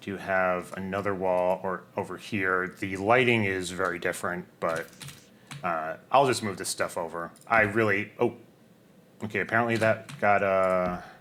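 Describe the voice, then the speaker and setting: A man's very deep, low voice with a bright, sharp tone, big swings in loudness, fairly even intonation and a moderate pace. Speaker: video game streamer. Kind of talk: casual gameplay commentary. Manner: relaxed, conversational.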